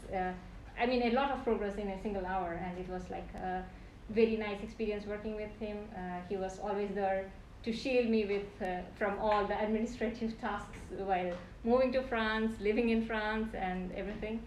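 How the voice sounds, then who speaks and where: A woman at medium pitch and moderate pace, fairly even in intonation, with audible room echo and noticeable background noise. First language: non-English native language. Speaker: PhD candidate. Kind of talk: thesis defense acknowledgements speech. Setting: defense room, live-streamed. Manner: halting.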